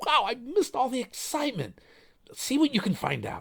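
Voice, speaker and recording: Delivered at a fairly quick pace, this is a put-on character voice. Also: man, extremely high pitch for a man. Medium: read story.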